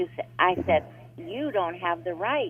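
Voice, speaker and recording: Music sits in the background as the speaker moves at a moderate pace with lively intonation. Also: woman. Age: 70s. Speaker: caller. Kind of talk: phone call to advice show.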